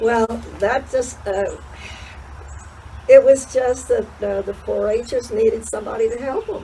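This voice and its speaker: With an American accent, a woman speaks fairly slowly with long, frequent pauses over noticeable background noise. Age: 90s. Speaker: horse show volunteer. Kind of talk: casual interview. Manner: halting.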